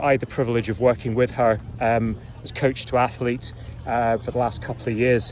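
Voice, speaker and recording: With a slight Scottish accent, a man speaks at medium pitch over noticeable background noise. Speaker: rowing coach and commentator. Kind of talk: informal review. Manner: casual, hesitant with fillers.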